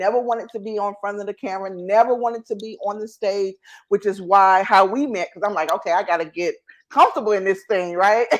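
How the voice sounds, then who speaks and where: Against a quiet background, the speaker goes at a very fast pace with fairly even intonation. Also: woman, medium pitch for a woman. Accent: Southern US. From North Carolina, US South. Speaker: entrepreneur and show host, guest. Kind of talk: interview, casual chat.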